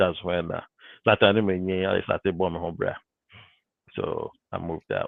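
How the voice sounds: In a dry, close sound with no echo, a man speaks low with vocal fry and little pitch movement. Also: fairly slow pace.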